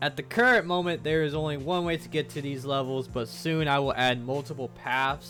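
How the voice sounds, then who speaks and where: There is music in the background as a man talks at a medium pitch. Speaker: indie game developer. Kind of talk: devlog narration.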